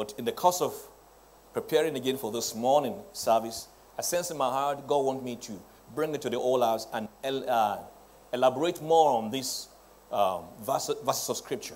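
Pitch varies in an ordinary way as the speech moves at a moderate pace. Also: man. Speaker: presiding pastor preaching. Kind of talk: sermon. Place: church.

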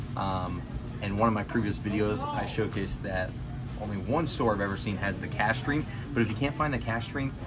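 Over clear background music, a man talks at a fairly quick pace with ordinary pitch variation. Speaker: bourbon vlogger. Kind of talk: casual vlog chat. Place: shop. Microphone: phone near.

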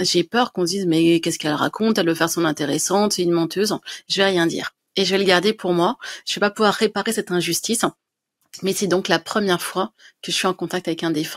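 At a very fast pace, a woman talks at a medium pitch with fairly even intonation over a quiet background. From France, Dijon; France. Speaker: writer and medium; interview guest. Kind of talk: interview. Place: home room. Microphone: studio mic.

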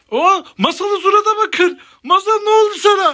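A woman at an extremely high pitch, bright, sharp tone, ordinary pitch variation and moderate pace

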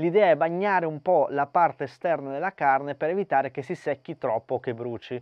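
A man with a fairly high pitch and a normal speaking voice talks at a fairly quick pace with hardly any pauses and ordinary pitch variation. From Argentina. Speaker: barbecue cooking youtuber. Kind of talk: cooking tutorial.

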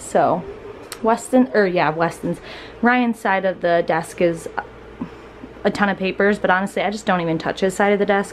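A woman speaks at medium pitch and a moderate pace, her pitch varying in the ordinary way, with faint background noise behind her.

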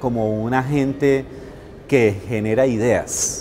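A man's voice over light background noise. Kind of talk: interview answer. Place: home room. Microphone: lapel.

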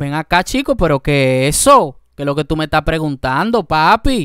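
A man speaks fairly slowly in a fairly high pitch. The sound is dry with no echo, against a quiet background. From Dominican Republic. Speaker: YouTube reaction host; reaction video host. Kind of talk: reaction commentary. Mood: indignant, critical. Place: home room. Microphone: studio mic.

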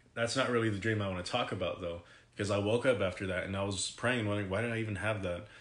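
A man's fairly low, monotone voice with flat intonation at a fairly quick pace, amid audible room echo. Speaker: vlogger. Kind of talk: casual vlog chat, personal story. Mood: serious, reflective. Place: home room. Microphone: phone near.

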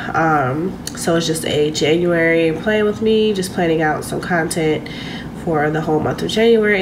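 Noticeable background noise runs through the clip. The voice shows ordinary pitch variation. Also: woman. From US. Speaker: boutique owner vlogger. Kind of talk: casual vlog monologue. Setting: home, self-recorded vlog. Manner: casual, chatty. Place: home room. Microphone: phone near.

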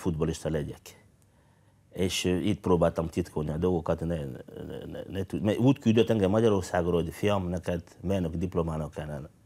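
The man's tone is dark and mellow. His pitch shifts in an ordinary way. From Congo. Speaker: former footballer, engineer. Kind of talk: interview. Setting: TV studio. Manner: halting. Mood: calm, reflective. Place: studio. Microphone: lapel.

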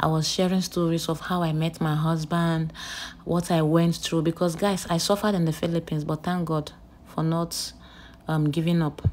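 A woman with a Nigerian accent at a fairly low pitch and a moderate pace, over light background noise. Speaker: nurse and vlogger; vlogger. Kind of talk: casual vlog storytelling. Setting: outdoors at a beach. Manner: animated. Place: street. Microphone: phone near.

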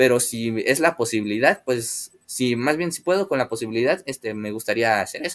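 Speaking with a Mexican accent, a man uses a medium pitch and lively intonation. He moves at a moderate pace with hardly any pauses. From Mexico. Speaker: aquarium hobby youtuber. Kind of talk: live stream chat with viewers. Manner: hesitant, many filler words. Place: home room. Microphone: webcam.

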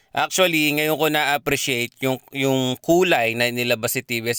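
A man talks at a moderate pace with medium pitch and ordinary pitch variation. His tone is bright and sharp, and the sound is dry and close with no echo. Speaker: motorcycle vlogger. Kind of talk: casual vlog review. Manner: casual, conversational.

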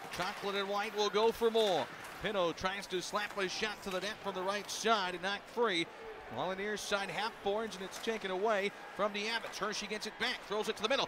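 A man's high-pitched, raised and projected voice with an animated tone comes through noticeable background noise, the sound dry and without echo. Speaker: hockey play-by-play announcer. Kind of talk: live hockey commentary. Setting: arena broadcast, radio network. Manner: rapid-fire, fluent play-by-play; animated, rising excitement on goals. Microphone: headset.

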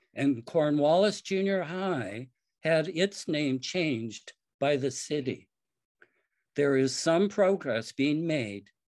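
A man's very slow, lively-intoned speech against a quiet background. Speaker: war resister and poet. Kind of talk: personal storytelling talk. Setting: video call. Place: home room. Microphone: video call.

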